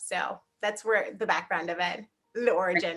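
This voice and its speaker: This woman has a Haitian accent. Her intonation is fairly even. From South Miami, Haitian immigrant family. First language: Haitian Creole. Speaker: nurse practitioner. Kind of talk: interview.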